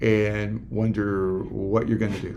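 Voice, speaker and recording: In audible room echo, a man speaks at a very slow pace. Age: 60s. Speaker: men's group facilitator. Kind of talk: interview. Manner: halting.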